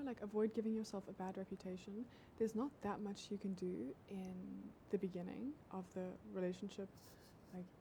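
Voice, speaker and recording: A woman talks at a fairly quick pace in a dark, mellow tone that is somewhat breathy. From South Africa. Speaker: dating advice influencer. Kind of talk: casual livestream chat. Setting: TikTok livestream.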